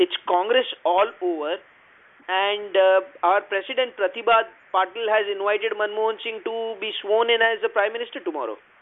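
With high pitch, a man talks at a moderate pace and fairly even intonation. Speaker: podcast co-host. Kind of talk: casual chat about news.

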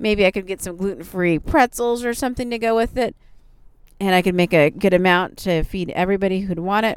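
At a fairly quick pace, a woman talks in an ordinary speaking voice at a medium pitch, with ordinary pitch variation. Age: 40s. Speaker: podcast host. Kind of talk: casual monologue.

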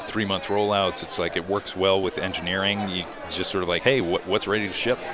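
A man with an American accent and a very deep, low pitch at a moderate pace, with crowd noise in the background. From Rhodesia (southern Africa) and Indiana, US. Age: 50s. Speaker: racing simulation software developer. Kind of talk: casual chat. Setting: restaurant dinner.

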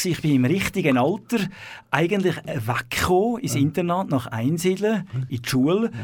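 On a very clean recording with a silent background, a man with a high pitch talks with ordinary pitch variation. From Switzerland, city of Zurich. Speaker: abbot of a monastery. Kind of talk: radio interview. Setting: radio studio.

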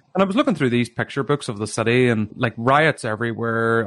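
A man with a Northern Irish accent speaks at a medium pitch against a quiet background, in a dry, close sound with no echo. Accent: Derry Northern Irish. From Northern Ireland, Derry. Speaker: author. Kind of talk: interview.

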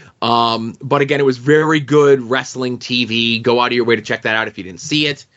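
A man uses an ordinary speaking voice and keeps a moderate pace. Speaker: wrestling podcast co-host. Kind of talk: casual chat. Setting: studio.

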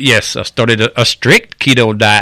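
Delivered at a very slow pace, the voice has a bright, sharp tone. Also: man. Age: 50s. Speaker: patient, former powerlifter and pipeline worker. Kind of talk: testimony.

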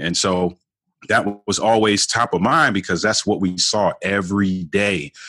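With an American accent, a man speaks on a very clean recording with a silent background. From Baltimore, Maryland, US. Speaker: marriage coach and author. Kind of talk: interview conversation.

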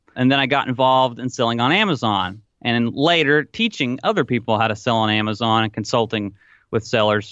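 At a fairly quick pace, a man with a Tennessee accent speaks at medium pitch with ordinary pitch variation. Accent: Southern US (Tennessee), noticeable. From US South, Tennessee. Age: 20s. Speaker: online retail entrepreneur. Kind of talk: podcast interview.

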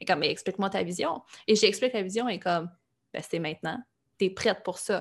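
A woman with a Quebec accent, medium-pitched, with ordinary pitch variation, a fairly quick pace broken by long, frequent pauses, on a very clean recording with a silent background. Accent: Québécois French. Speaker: life coach and podcaster. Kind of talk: interview. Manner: animated.

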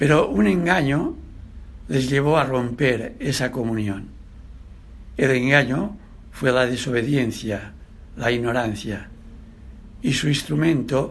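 A man speaks very slowly with long, frequent pauses and vocal fry. His pitch is medium, with ordinary variation. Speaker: preacher. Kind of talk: sermon. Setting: church.

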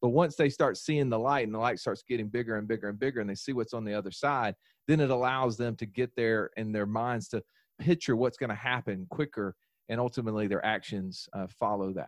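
A man with a Southern US accent talks at a fairly quick pace, his pitch medium and its variation ordinary. The sound is dry and close with no echo, over a quiet background. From US South. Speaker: financial educator and podcaster. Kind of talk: podcast interview.

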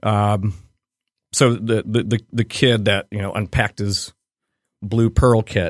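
With a slight Midwestern accent, the speaker talks at a fairly slow pace in a monotone, flat intonation with long, frequent pauses, on a very clean recording with a silent background and a dry, close sound with no echo. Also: man, fairly low pitch for a man. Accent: slight Midwestern American. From Cleveland, Ohio, US Midwest. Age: 40s. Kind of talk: casual interview chat. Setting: studio.

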